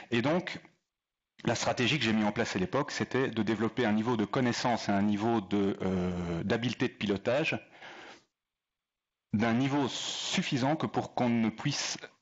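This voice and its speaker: A man with a slight Belgian accent speaks at a medium pitch and a moderate pace, with ordinary pitch variation. His loudness stays very even, broken by long, frequent pauses. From Belgium. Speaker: airline pilot and leadership speaker. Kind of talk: talk to an audience. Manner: hesitant, many fillers.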